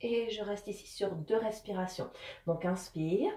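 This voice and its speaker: A woman with a dark, mellow, somewhat breathy tone speaks at a moderate pace with audible room echo. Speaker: fitness instructor. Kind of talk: guided exercise instruction. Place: home room. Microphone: camera far.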